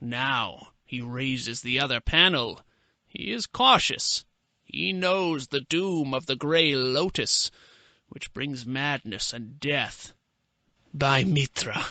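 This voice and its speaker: A man's put-on character voice at medium pitch and a very slow pace, in a dry, close sound with no echo and a quiet background. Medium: read story. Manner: gloating, sardonic.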